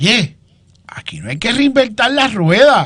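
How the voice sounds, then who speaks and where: A man projects a raised voice with a bright, sharp tone at a fairly slow pace. His delivery is animated, with lively intonation. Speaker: political commentator. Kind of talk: political panel discussion.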